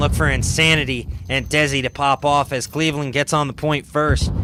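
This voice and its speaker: Over noticeable background noise, a man talks in a fairly high voice with ordinary pitch variation. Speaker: esports caster. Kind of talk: live commentary. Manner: animated.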